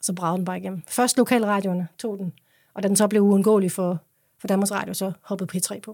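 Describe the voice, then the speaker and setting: On a very clean recording with a silent background and a dry, close sound with no echo, a woman speaks at a fairly quick pace in a medium pitch, her tone dark and mellow and her intonation fairly even. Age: 40s. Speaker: singer. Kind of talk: interview.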